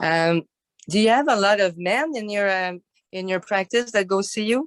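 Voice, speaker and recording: A woman with a non-native accent speaks at a moderate pace with ordinary pitch variation, the sound dry and close with no echo. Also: medium pitch for a woman. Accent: foreign accent, self-noted. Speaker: participant. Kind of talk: group discussion.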